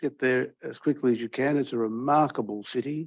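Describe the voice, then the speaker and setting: A man with an unremarkable speaking voice, a moderate pace and ordinary pitch variation. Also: quiet background. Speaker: law professor introducing a speaker. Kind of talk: seminar introduction speech.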